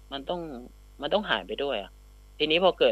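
A man's normal speaking voice, pitched fairly high, shows ordinary pitch variation. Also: quiet background. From Southern Thailand, Phatthalung. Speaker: journalist and content creator. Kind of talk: radio interview.

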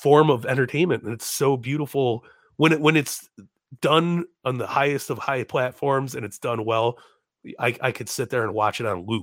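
Recorded very cleanly against a silent background, a man with an American accent has a plain, everyday voice of medium pitch, ordinary pitch variation, and a moderate pace. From Chicago. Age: 30s. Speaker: comedian and podcaster. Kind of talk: casual chat.

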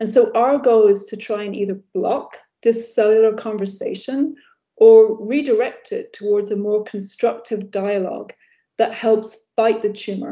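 A woman's fairly high-pitched voice. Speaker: cancer researcher, professor. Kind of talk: interview, scientific explanation. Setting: video call. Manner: formal, articulate.

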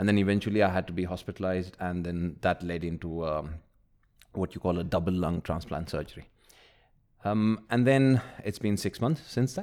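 On a very clean recording with a silent background, a male voice sounds very deep and low. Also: ordinary pitch variation, moderate pace. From UAE, Indian (Kerala) family. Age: 30s. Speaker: marketing executive, patient with lung disease. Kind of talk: casual interview.

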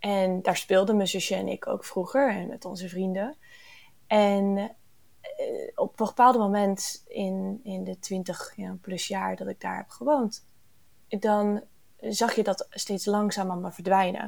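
A woman's very slow speech, with big swings in loudness. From Canada, near Toronto. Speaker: ecological engineer. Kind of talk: interview. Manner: hesitant with many fillers.

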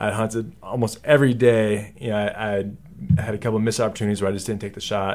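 Speaking at a very fast pace, a man with an American accent keeps a fairly low pitch and monotone, flat intonation. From Texas. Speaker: hunter. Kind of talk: casual chat.

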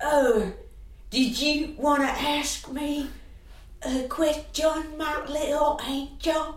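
Using a put-on character voice, a woman speaks at a high pitch and a very slow pace, with fairly even intonation and a slight echo. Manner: warm, doting.

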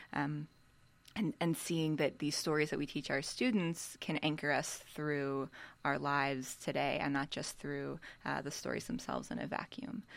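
Vocal fry colors the voice. The speaker talks with an American accent. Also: woman, very deep, low pitch for a woman, ordinary pitch variation, moderate pace. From Philadelphia. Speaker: religious school director. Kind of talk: panel interview.

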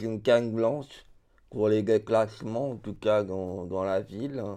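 A man speaks very slowly at a medium pitch, his intonation fairly even against a quiet background. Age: 30s. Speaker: deafblind resident. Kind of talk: personal testimony. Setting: around a table. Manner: halting.

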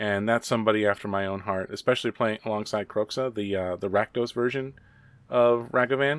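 A man with a plain, everyday voice speaks at a fairly low pitch and with fairly even intonation. The recording is very clean, dry and close, with no echo and a silent background. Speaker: teacher and guest co-host. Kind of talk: casual chat, podcast.

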